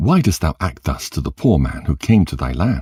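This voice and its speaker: A man puts on a growling character voice, very deep and low, with very wide pitch swings. He goes at a moderate pace in a dry, close sound with no echo. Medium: read story. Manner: righteous, indignant.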